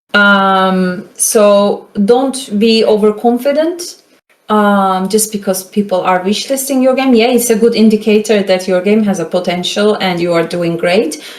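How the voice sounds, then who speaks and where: A woman with a Turkish accent speaks at a medium pitch. Her pace is fairly slow, and audible room echo surrounds her. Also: ordinary pitch variation. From Turkey (Istanbul). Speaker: game marketing consultant. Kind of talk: lecture. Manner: casual, filler-heavy.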